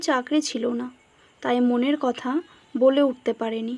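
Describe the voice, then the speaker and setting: High-pitched, a woman talks with fairly even intonation. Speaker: voice-over narrator. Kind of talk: read story.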